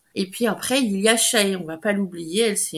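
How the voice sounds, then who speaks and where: A woman talks rather slowly in a somewhat breathy voice, her pitch varying normally. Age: 40s. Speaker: dog breeder and trainer. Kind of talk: interview.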